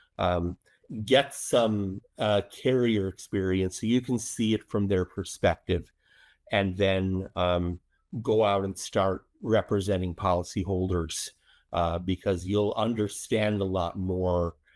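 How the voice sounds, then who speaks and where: In a very clean, dry, close recording with no echo and a silent background, a man with a very deep, low pitch speaks very slowly with fairly even intonation. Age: 60s. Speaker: public adjuster. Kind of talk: interview. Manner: frequent fillers, uh and um.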